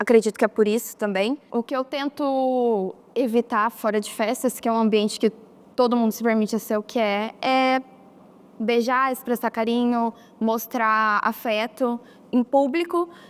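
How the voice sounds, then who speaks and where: A woman with an ordinary speaking voice talks at a fairly slow pace, her fairly high pitch held in fairly even intonation, recorded with a dry, close sound and no echo. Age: young. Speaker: documentary interviewee. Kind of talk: testimony.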